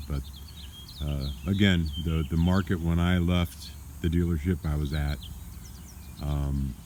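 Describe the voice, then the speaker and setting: This man's pitch is very deep and low. His intonation remains fairly even. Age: 60s. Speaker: former car salesman, vlogger. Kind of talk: casual vlog monologue. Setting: outdoors in backyard. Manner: casual, with many fillers.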